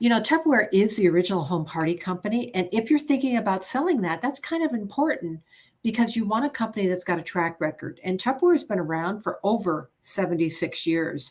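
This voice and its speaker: Very breathy at times, a woman with an American accent races along at a very fast pace in an animated tone with very wide pitch swings, recorded very cleanly against a silent background. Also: medium pitch for a woman, hardly any pauses. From upstate New York, near Albany. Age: 60s. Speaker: direct sales consultant. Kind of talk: sales presentation livestream.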